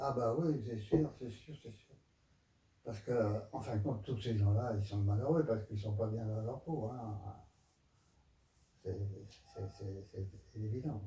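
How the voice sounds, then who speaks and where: The voice is dark and mellow in tone, somewhat breathy, moving at a fairly slow pace with long, frequent pauses, ordinary pitch variation and big swings in loudness. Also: man, fairly low pitch for a man. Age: 80s+. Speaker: aikido teacher. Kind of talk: interview answer.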